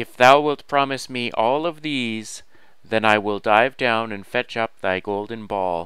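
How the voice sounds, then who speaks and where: A croaky, put-on character voice moves at a fairly slow pace on a very clean recording with a silent background. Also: man, medium pitch for a man. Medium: read story. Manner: archaic thee-and-thou speech.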